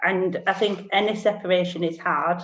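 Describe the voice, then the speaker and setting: A woman with a Lancashire accent speaks at a medium pitch. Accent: Bolton. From northern England, Bolton. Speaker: single parent sharing her story. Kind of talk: interview testimony.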